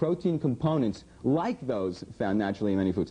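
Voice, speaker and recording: Animated in tone, a man's medium-pitched voice moves through very wide pitch swings. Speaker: public access TV comedy host. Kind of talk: satirical comedic commentary monologue. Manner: fast; animated, sarcastic.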